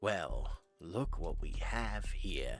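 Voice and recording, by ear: The voice is a put-on character voice, creaky and raspy. Music plays in the background.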